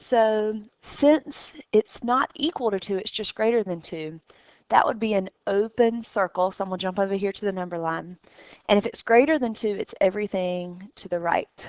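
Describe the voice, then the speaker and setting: A woman with an unremarkable speaking voice, medium pitch and ordinary pitch variation, at a moderate pace, in a dry, close sound with no echo. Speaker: math teacher. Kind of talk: recorded lesson.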